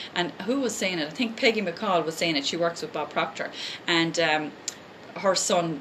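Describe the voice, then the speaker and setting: Fairly quick speech from a woman with an Irish accent, fairly low pitch, and ordinary pitch variation, with noticeable background noise. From Ireland. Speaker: life coach and essential oils seller. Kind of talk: live motivational talk. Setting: live stream. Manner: fast; animated.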